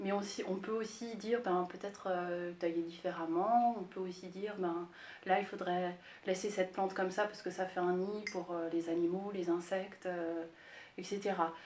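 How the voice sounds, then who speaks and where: Over noticeable background noise, a woman speaks fairly slowly at a medium pitch. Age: 40s. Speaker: landscape gardener. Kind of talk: interview. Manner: hesitant, many filler sounds.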